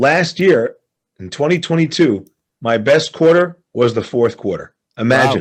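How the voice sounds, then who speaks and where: Lively intonation colors speech that moves at a fairly slow pace. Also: man, fairly high pitch for a man. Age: 60s. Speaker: real estate investor. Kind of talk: interview. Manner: animated.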